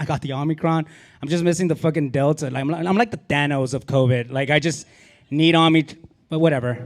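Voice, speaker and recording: Speaking at a very fast pace, a man uses an American accent. His pitch is fairly high and varies in an ordinary way. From Laredo, Texas (US–Mexico border). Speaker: comedian. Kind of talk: stand-up. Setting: stage with audience. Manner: animated.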